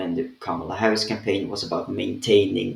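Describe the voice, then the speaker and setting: A man in a Swedish accent. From Sweden. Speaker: political commentator. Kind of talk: rant. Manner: casual, with fillers.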